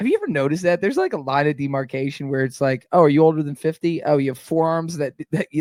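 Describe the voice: A loud, booming man talks fast with an American accent, his pitch fairly high and swinging widely. The sound is dry and close, with no echo. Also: slightly mellow tone.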